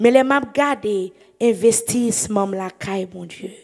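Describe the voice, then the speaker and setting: Speaking at a very slow pace in a Haitian accent, a woman uses ordinary pitch variation against a quiet background. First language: Haitian Creole (speaking French). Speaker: evangelist preacher. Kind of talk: sermon. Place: church. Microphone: handheld.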